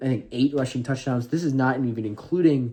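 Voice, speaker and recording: Over a quiet background, a man with a dark, mellow tone talks at a medium pitch with ordinary pitch variation. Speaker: football content creator. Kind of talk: casual video commentary. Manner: fast.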